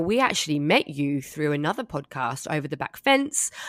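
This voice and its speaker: In an Australian accent, the speaker moves at a moderate pace with very wide pitch swings in a very clean recording with a silent background. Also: woman. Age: 40s. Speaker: podcast host. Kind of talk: casual chat. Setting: podcast recording.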